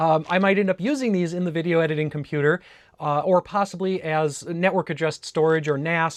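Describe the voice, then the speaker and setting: A man with a northern US accent talks at a very fast pace and a high pitch, with ordinary pitch variation. The sound is dry and close with no echo, over a quiet background. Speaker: tech YouTuber. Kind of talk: casual unboxing video. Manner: casual, with many fillers.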